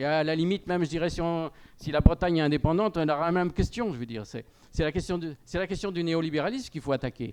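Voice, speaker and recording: Very fast male speech pitched fairly high, its pitch moving in a normal way. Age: 60s. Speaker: panel speaker at a farmers' union debate. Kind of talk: panel discussion. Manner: hesitant, many fillers.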